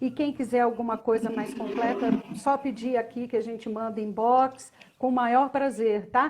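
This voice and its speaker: Noticeable background noise is present. The speaking goes at a moderate pace. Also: woman, fairly high pitch for a woman. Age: 60s. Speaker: communication and expressiveness consultant. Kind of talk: live stream chat. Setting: live video stream. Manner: animated.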